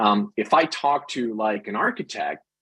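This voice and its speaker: A man is speaking here. He has a Dutch accent. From Netherlands. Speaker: product manager. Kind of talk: webinar interview. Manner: halting, many repetitions.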